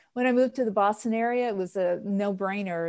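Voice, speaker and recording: A woman with an American accent and an ordinary speaking voice, fairly quick and with fairly even intonation. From New York (Queens). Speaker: podcast co-host. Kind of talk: casual chat.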